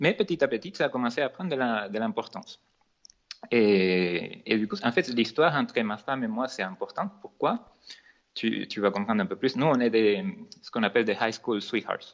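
A man with a Venezuelan accent, medium pitch, moderate pace and lively intonation. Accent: noticeable Venezuelan Spanish. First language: Spanish (speaking French). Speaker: cake designer and entrepreneur. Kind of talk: podcast interview. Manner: sing-song accent.

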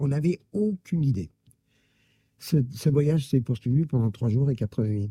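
With a fairly high pitch for a man and a dark, mellow, somewhat breathy tone, a man speaks at a fairly slow pace with lively intonation, long, frequent pauses and very even loudness, in a dry, close sound with no echo. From Germany, Karlsruhe. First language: German (speaking French). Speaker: Holocaust survivor. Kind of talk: testimony. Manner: halting.

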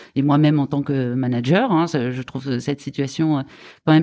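At a moderate pace, a voice with a dark, mellow tone and fairly even intonation comes through in a very clean recording with a silent background. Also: woman. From France, Lyon region. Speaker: hospital foundation fundraising director. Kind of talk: interview.

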